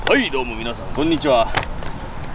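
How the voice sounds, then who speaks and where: Light background noise runs under a man's voice, which sounds dry with no echo. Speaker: fitness vlogger. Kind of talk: casual vlog chat. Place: beach.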